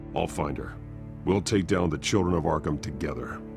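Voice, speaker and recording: Over loud background music, a man does a put-on character voice at a fairly quick pace. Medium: video game. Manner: terse, clipped.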